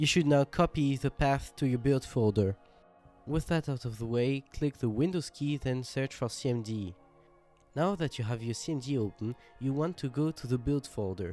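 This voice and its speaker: Over background music, a man with a fairly high voice speaks at a moderate pace with lively intonation and a dry, close sound with no echo. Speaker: game engine contributor. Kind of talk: software tutorial narration.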